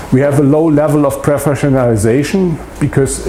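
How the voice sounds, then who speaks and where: A man with a German accent speaks amid noticeable background noise and audible room echo. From Germany. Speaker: political science professor. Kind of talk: lecture. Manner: halting, many fillers.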